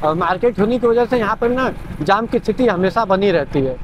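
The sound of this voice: Over clear background noise, a man speaks at a fairly quick pace in a high pitch for a man, with lively intonation.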